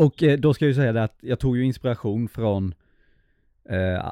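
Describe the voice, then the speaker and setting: The man has a plain, everyday voice. He keeps a moderate pace and ordinary pitch variation. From Småland, Sweden (Hestra). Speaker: podcast co-host, filmmaker. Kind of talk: casual chat.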